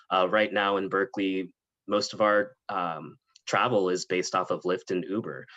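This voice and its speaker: With a Californian accent, a man talks at a moderate pace in a very deep, low pitch. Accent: Californian American English. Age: 20s. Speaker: political candidate. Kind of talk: panel interview.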